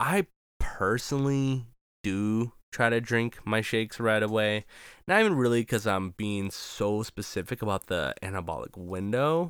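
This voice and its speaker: Using ordinary pitch variation and an animated tone, a man at medium pitch speaks at a fairly slow pace in a very clean recording with a silent background. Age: 20s. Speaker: fitness podcast host and personal trainer. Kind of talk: solo podcast monologue.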